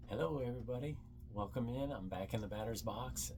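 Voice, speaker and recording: Soft-spoken and somewhat breathy, a man talks in a relaxed, dark, mellow tone. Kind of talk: ASMR storytelling. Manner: soft-spoken, relaxed.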